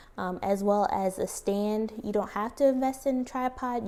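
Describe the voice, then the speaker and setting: Soft-spoken, a woman talks at a medium pitch. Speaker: plant YouTuber. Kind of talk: tutorial.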